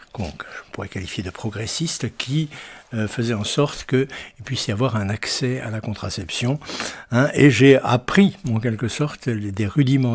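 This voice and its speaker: A somewhat breathy man's voice at medium pitch, moderate in pace, with lively intonation. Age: 80s+. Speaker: retired doctor, activist. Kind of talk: testimony. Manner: halting, many hesitations.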